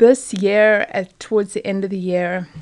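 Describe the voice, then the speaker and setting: A woman speaks in a South African accent. She goes at a fairly slow pace. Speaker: parent. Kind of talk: casual chat.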